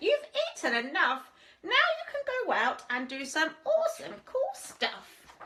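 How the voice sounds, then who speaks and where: A woman performs a put-on character voice at an extremely high pitch. It has very wide pitch swings and a fairly slow pace. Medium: read story.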